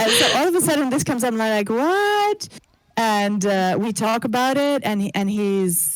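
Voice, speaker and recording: Speaking at a moderate pace, a woman talks with an English accent. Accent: Americanized English. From Greece. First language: not English. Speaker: abuse survivor, singer-songwriter. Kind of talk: interview testimony. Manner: halting, many fillers and repeats.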